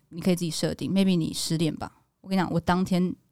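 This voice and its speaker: A woman speaks at a fairly low pitch in a Taiwanese accent. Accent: Taiwanese Mandarin. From Taiwan, Kaohsiung. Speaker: actress and podcast co-host. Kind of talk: casual chat.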